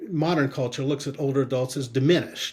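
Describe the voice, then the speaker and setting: Fairly quick, fairly high-pitched male speech over noticeable background noise. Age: 60s. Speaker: marketing consultant and aging advocate. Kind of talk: interview conversation. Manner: halting.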